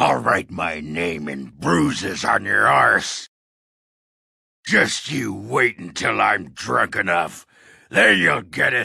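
A man puts on a character voice that is raspy and very deep, low in pitch. He speaks very slowly. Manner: brash, crude, cocky.

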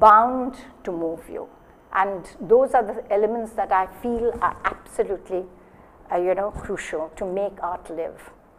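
Delivered at a fairly slow pace in an Indian accent, the speech has ordinary pitch variation and big swings in loudness. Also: woman. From India, Bengal. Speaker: gallery director and moderator; moderator. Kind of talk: moderating a panel discussion. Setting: gallery with live audience. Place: hall.

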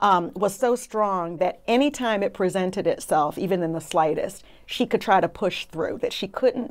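In an American accent, a woman speaks at a medium pitch and moderate pace with ordinary pitch variation. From US, Brooklyn, New York. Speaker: trial attorney. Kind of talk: casual interview discussion. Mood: earnest, reflective. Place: studio.

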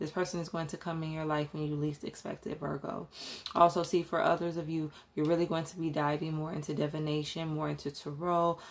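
A woman speaks in a very deep, low pitch with a monotone, flat intonation. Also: fairly quick pace. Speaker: tarot reader. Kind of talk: tarot reading commentary.

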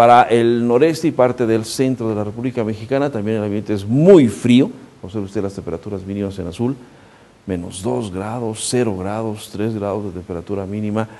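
A man with an unremarkable speaking voice talks at a fairly quick pace, his pitch fairly low and its variation ordinary, over light background noise. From Mexico. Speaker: weather forecaster; TV presenter. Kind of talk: weather forecast. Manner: conversational, addresses viewer directly. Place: studio. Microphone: lapel.

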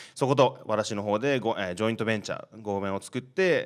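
Fairly low male pitch and lively intonation, a man at a moderate pace against a quiet background. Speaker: startup founder; panelist. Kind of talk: panel discussion. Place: classroom. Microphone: handheld.

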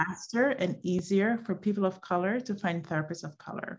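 A woman's voice, moderately paced, with a quiet background. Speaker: event host. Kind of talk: webinar introduction. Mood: warm, enthusiastic. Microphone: video call.

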